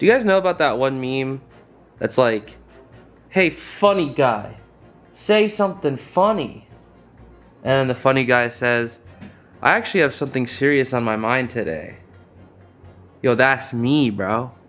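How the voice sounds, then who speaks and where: Over music in the background, a man with a medium pitch talks at a fairly slow pace with lively intonation and long, frequent pauses. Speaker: YouTuber. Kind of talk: casual talk to camera. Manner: rambling.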